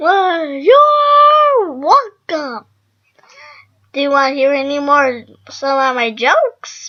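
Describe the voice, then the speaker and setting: A cartoonish character voice, high-pitched and playful, talks at a very slow pace. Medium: puppet. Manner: silly, playful.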